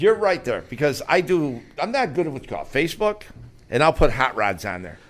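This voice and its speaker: An animated man with an American accent speaks at a fairly quick pace in a fairly high voice with vocal fry. His pitch swings very widely and his loudness shifts a lot. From Finger Lakes, upstate New York. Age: 70s. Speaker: drag racer, former radio host. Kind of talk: casual chat. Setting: studio. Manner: halting.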